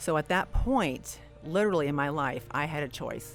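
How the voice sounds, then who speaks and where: With music playing in the background, a woman speaks at a very deep, low pitch. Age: 60s. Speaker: athlete and podcast host. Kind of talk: interview answer.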